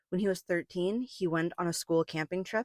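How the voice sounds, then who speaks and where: The speaker is a woman with a fairly low pitch. The recording is very clean, with a silent background. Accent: American. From US West, Las Vegas. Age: 20s. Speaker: film student. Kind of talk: scripted narration. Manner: calm, measured.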